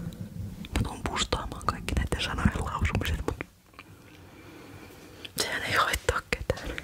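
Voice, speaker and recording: Noticeable background noise surrounds a very slow whisper, broken by long, frequent pauses. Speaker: ASMR creator. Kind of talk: casual talk to camera. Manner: whispered.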